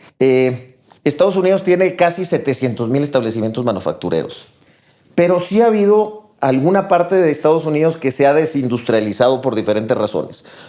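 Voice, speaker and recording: A man with an ordinary speaking voice talks at a fairly quick pace and a fairly high pitch. His intonation is lively and his loudness very even. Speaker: business executive. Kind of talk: casual chat.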